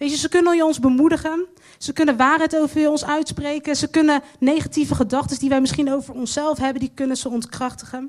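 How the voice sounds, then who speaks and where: A woman's high voice at a fairly quick pace. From Netherlands. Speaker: guest preacher. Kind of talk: sermon.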